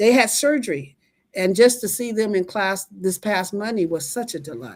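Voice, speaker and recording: In an American accent, a woman speaks with lively intonation at a medium pitch and a moderate pace. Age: 60s. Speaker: line dance instructor. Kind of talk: interview. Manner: shy.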